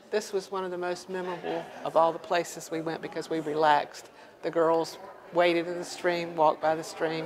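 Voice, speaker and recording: Fairly quick speech from a woman at a fairly low pitch, monotone and flat, with noticeable background noise and audible room echo. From US South, North Carolina (Four Oaks). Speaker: painter. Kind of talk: interview.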